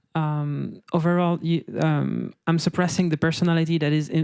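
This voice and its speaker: Someone with a non-native accent speaks at a moderate pace on a very clean recording with a silent background. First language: not English. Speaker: game designer on a panel. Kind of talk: panel discussion. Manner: halting, many restarts.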